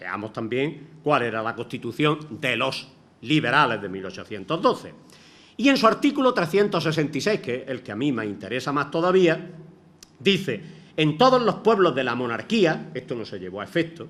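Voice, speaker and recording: A man with a fairly high pitch and vocal fry talks at a moderate pace, his pitch swinging very widely and his loudness rising and falling sharply. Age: 60s. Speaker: retired teacher, lecturer. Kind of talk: lecture.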